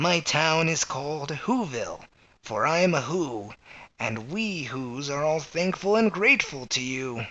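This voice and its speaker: A man's put-on character voice, fairly high in pitch with lively intonation at a fairly slow pace. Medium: read story.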